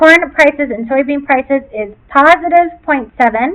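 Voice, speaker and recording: With lively intonation, a woman talks in a high pitch. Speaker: teacher. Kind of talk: tutorial. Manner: fast.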